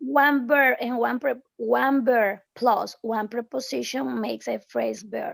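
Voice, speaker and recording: A woman with a Spanish accent speaks at a very slow pace, with hardly any pauses. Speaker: English teacher. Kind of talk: online English class.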